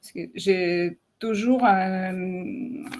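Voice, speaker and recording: A woman speaks with a slight non-native accent. Her voice sits at a medium pitch with fairly even intonation. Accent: slight foreign. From Ukraine and Russia. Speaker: digital artist. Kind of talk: live video interview. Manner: halting, many hesitations.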